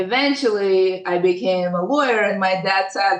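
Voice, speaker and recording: Speaking with a non-native accent, a woman keeps a medium pitch and ordinary pitch variation. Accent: foreign. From Ukraine and other places, moved to US at 13. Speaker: tech lawyer. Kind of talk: podcast interview.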